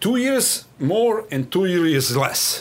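With a Serbian accent, a man speaks at a high pitch with very wide pitch swings. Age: 40s. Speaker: national team water polo coach. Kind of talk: interview. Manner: direct.

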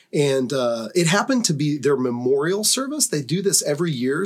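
This man has a plain, everyday voice, fairly high in pitch, and talks at a moderate pace. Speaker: podcast host. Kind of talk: casual discussion.

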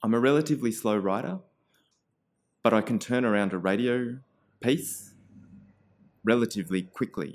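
Medium pitch for a man at a moderate pace, with ordinary pitch variation on a very clean recording with a silent background. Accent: Australian. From Australia, Canberra. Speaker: community radio presenter and writer. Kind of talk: casual interview.

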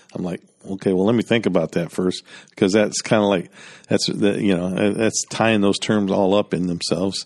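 A man with a fairly low pitch speaks at a moderate pace in a monotone, flat intonation, the sound dry and close with no echo and the background quiet. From Michigan, near Detroit. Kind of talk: interview. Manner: halting, many fillers.

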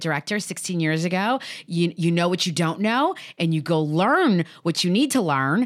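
Speaking in an ordinary speaking voice, a woman talks at a fairly quick pace with a fairly low pitch and ordinary pitch variation on a very clean recording with a silent background. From Chicago, Puerto Rican family. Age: 40s. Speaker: nonprofit executive director. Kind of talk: interview.

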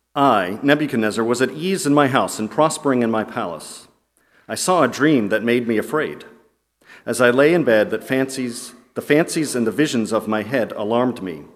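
With an unremarkable speaking voice, a man talks at a moderate pace in a medium pitch with lively intonation. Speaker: scripture reader. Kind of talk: reading aloud. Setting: church.

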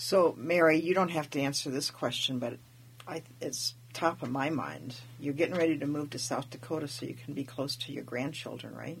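A woman's very deep, low voice with vocal fry, ordinary pitch variation and a moderate pace. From Alaska, Tlingit family from Wrangell. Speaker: interviewer. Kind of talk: casual interview. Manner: halting, many fillers.

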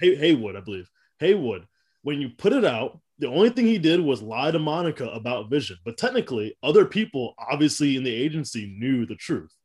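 Very wide pitch swings at a fairly quick pace, over a quiet background. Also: man, fairly high pitch for a man. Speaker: comics podcast host. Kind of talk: casual chat. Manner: laughs often.

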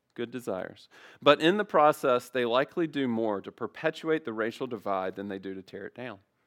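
In a plain, everyday voice, a man with an American accent speaks at a fairly quick pace and medium pitch. His intonation is lively, and his loudness moves in big swings. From US South, Memphis area. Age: 30s. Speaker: guest preacher. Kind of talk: sermon.

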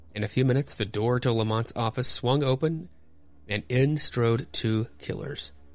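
The pitch varies in an ordinary way as the text is read in an unforced voice.

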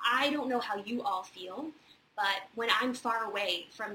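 Amid noticeable background noise, a woman with an American accent speaks with ordinary pitch variation. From Virginia, near Charlottesville. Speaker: theater industry advisor hosting weekly Q&A. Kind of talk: casual advice livestream. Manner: many fillers (um, uh).

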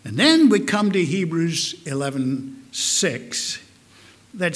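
Amid audible room echo and noticeable background noise, a man with an American accent speaks at a fairly high pitch with very wide pitch swings. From US Midwest, Omaha, Nebraska. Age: old. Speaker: pastor. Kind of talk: sermon.

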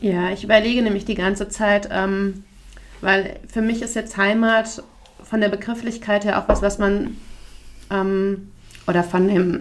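With long, frequent pauses, a woman talks at a fairly slow pace and medium pitch in monotone, flat intonation. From Hesse, Taunus area. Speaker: podcast co-host. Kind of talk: casual chat.

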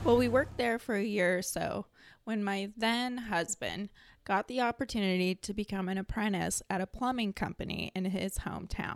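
A woman at a moderate pace with a West Coast accent, on a very clean recording with a silent background. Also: medium pitch for a woman, ordinary pitch variation. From Oregon, US Pacific Northwest. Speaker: hairstylist. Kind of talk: personal storytelling monologue.

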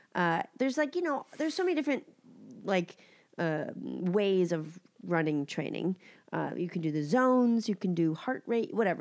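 The recording is very clean, with a silent background. A woman with a nasal voice talks at a fairly quick pace. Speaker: podcast co-host. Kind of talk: casual chat.

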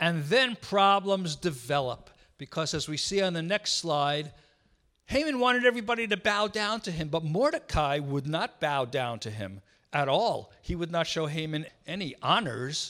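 With a New York accent, a man talks at a moderate pace in a high pitch, his bright, sharp tone making very wide pitch swings on a very clean recording with a silent background. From New York City. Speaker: visiting missionary speaker. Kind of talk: church talk. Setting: church.

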